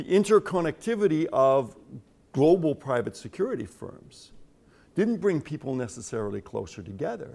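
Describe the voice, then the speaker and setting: The pace stays moderate. Pitch moves in very wide swings. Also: man, fairly high pitch for a man. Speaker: security studies scholar. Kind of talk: panel discussion.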